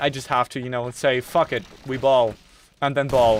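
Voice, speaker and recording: A man speaks in a British accent at a medium pitch. His intonation is monotone and flat. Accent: British-sounding English. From Germany. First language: German. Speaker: gaming streamer. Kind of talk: casual chat while gaming on live stream. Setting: attic bedroom with PC running. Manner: repetitive, stammering restarts.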